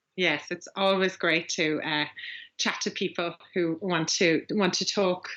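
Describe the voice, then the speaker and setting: In a strong Irish accent, a woman speaks at a fairly slow pace, her fairly low voice delivered with monotone, flat intonation. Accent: Irish, strong and getting stronger. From Ireland. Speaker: agency growth coach. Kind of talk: podcast interview. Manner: hesitant, many fillers.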